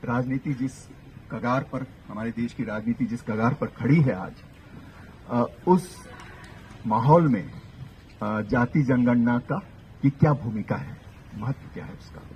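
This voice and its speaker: A man with a Kannada accent talks at a medium pitch with ordinary pitch variation. His loudness swings widely, and he takes long, frequent pauses. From Hindi-speaking north India. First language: Kannada (speaking Hindi). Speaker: professor. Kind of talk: public lecture. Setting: outdoor public meeting with audience.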